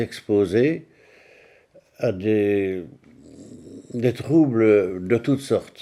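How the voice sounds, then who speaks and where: A man's dark, mellow tone at medium pitch, with ordinary pitch variation and long, frequent pauses. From Belgium, Liège province (Francorchamps). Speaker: war survivor, former race circuit manager. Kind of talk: testimony. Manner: halting, with frequent hesitations.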